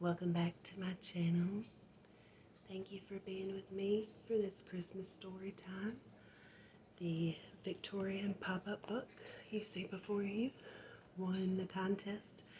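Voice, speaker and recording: Soft-spoken, somewhat breathy speech with a Southern US accent, monotone, flat intonation, a very slow pace, and long, frequent pauses. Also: woman, medium pitch for a woman. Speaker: ASMR artist. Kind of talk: casual ASMR intro to camera.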